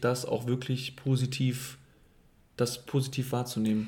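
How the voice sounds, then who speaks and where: The man's intonation is monotone and flat. His voice is somewhat breathy. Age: 20s. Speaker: host's partner. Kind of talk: casual chat.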